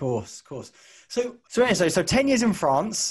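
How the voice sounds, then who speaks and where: A man talks at a moderate pace with lively intonation in an unremarkable speaking voice. The background is quiet. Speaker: podcast host. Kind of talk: interview question.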